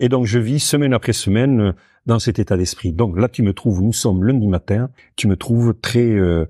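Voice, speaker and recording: Man with a Basque accent, dark, mellow tone and very even loudness at a moderate pace, in a dry, close sound with no echo and a very clean recording with a silent background. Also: medium pitch for a man, ordinary pitch variation. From French Basque Country. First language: Basque (speaking French). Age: 60s. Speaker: founder and director of a social farm. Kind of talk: interview conversation. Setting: on site at the farm. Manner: hesitant, many fillers.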